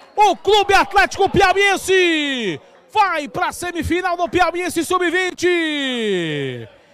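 Extremely unhurried delivery, normal pitch movement, and clearly audible noise behind it. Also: man, extremely high pitch for a man. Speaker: football commentator. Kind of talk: live football commentary. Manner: animated, breathless, with bursts of laughter.

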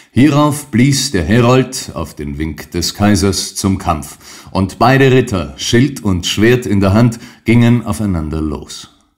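Marked by vocal fry, a man with a fairly low pitch talks at a very slow pace, his pitch swinging very widely. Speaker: audiobook narrator. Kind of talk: dramatic narration of a classic story, read aloud. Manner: animated, building intensity, vivid storm-like pacing in the battle scene; formal, measured, literary.

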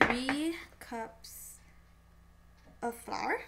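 A woman's fairly high, bright and sharp voice with vocal fry and lively intonation, at a very slow pace, with audible room echo

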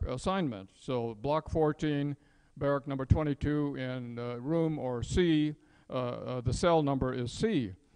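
In a normal speaking voice, a man talks with a fairly high pitch and ordinary pitch variation, with a quiet background. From San Francisco, US West Coast; California. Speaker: retired engineer and speaker on wartime incarceration; speaker. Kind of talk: public talk. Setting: museum event with audience. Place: hall.

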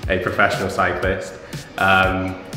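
With a very deep, low pitch, a man speaks in a room with audible echo while clear music plays in the background. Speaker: interviewee. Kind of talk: interview answer. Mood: cheerful, relaxed. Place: home room.

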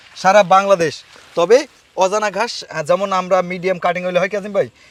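The speaker is a man. His pitch is high. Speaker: grass farmer and cutting seller. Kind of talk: casual on-site interview.

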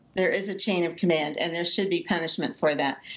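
A woman is talking. The variation in her pitch is ordinary. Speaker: parent of a jailed marine officer. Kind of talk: interview. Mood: earnest, concerned, emotional. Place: home room. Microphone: video call.

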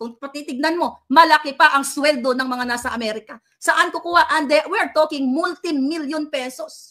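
A woman with a high pitch and a bright, sharp tone uses a raised, projected voice, ordinary pitch variation, big swings in loudness and hardly any pauses, against a quiet background. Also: moderate pace. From Philippines. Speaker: political commentator vlogger. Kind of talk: angry rant. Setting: Pinoy living in the US. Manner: loud, furious, insulting; sarcastic, taunting. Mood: indignant defiant. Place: home room. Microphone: phone near.

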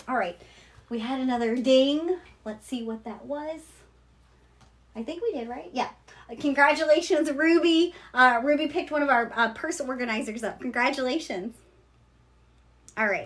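A woman with an American accent speaks in a high pitch with ordinary pitch variation. She pauses long and often, and her loudness swings widely. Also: moderate pace. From Kentucky, US South. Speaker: online seller of luxury bags. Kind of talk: live shopping stream. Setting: livestream. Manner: casual, chatty. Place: shop. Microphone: phone near.

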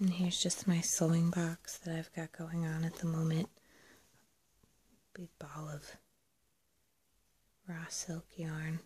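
Soft-spoken and very slow, the speaker leaves long, frequent pauses. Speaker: textile crafter. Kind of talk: soft spoken POV ramble. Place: home room. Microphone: phone near.

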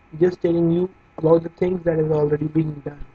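With an Indian accent, a man speaks at a high pitch over noticeable background noise. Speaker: digital marketing coach. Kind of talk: tutorial. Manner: casual, many hesitations.

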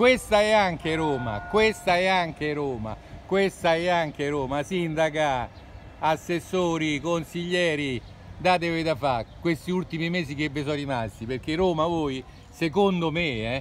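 A man talks at a fairly slow pace with ordinary pitch variation. The sound is dry with no echo, and music plays in the background. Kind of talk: protest commentary. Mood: indignant, critical. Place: street. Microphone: phone near.

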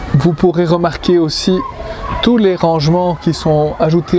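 Over crowd noise in the background, a man with a high voice speaks at a fairly slow pace. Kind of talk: vehicle walkaround tour. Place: street. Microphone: phone near.

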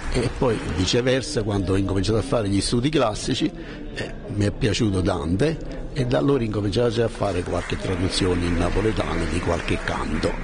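Over noticeable background noise, a man with a fairly low pitch talks at a fairly quick pace with very even loudness. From Naples area, Italy. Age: 70s. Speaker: author and translator. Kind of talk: interview answer. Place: hall. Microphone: handheld.

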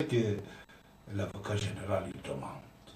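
Someone with a Persian accent speaks at a very slow pace, with audible room echo. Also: man. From Iran. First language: Persian (speaking French). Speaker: radio host; commentator. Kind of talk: radio talk show monologue. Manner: halting. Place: studio.

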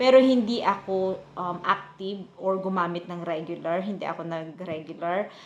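The speaker moves at a moderate pace with ordinary pitch variation and big swings in loudness. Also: woman, medium pitch for a woman. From Philippines, provinces. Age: 40s. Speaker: vlogger. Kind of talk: casual vlog talk. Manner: halting, many fillers.

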